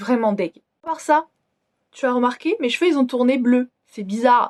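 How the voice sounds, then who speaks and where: A loud woman's voice with a high pitch and ordinary pitch variation. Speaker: beauty vlogger. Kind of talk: casual vlog review.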